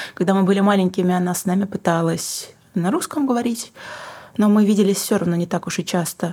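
This woman speaks at a fairly quick pace in a plain, everyday voice, medium in pitch, with fairly even intonation. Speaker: singer-songwriter and book publisher. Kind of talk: casual interview.

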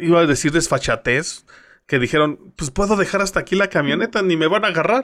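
A man speaks at a high pitch and a fairly quick pace with ordinary pitch variation. The recording is very clean, with a silent background. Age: young. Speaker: radio news co-host. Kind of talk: casual news chat.

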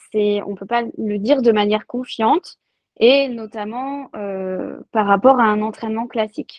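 A very slow pace and fairly even intonation. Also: woman. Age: 30s. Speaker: sports nutrition coach. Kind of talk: interview.

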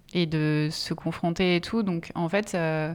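The recording is very clean, with a silent background. A woman speaks in a fairly low, monotone voice with flat intonation. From France, Essonne. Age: 30s. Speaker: activist and campaign trainer. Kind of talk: casual conversation.

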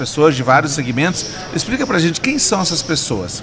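A man speaks over noticeable background noise. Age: 40s. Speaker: podcast host. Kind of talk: casual interview chat.

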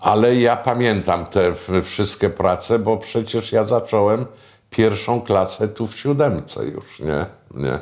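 At a very slow pace, a man speaks in a fairly low pitch with ordinary pitch variation. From Pomerania, northern Poland (near Puck, Sopot). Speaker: screenwriter and film producer. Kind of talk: oral history reminiscence interview. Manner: conversational, with frequent fillers.

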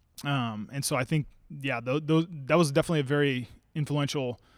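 In a very clean recording with a silent background, a man speaks in a fairly high pitch with fairly even intonation. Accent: American. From Oregon, US. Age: 30s. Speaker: martial arts champion and gym owner. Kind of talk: interview.

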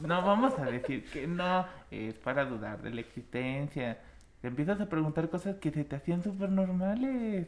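A man with a high voice speaks at a moderate pace, his pitch swinging very widely. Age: 20s. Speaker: podcast co-host. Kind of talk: casual chat.

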